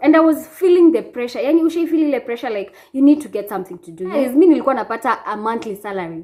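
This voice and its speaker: In a Kenyan accent, a woman talks at a very fast pace with very wide pitch swings. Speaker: vlogger. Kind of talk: casual vlog chat. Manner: animated.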